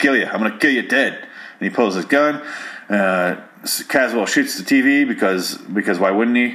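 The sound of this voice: Intonation stays lively throughout an unforced reading voice.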